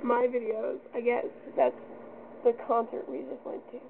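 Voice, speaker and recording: A woman speaks with a high pitch at a fairly slow pace. Noticeable background noise is present. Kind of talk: casual talk to camera.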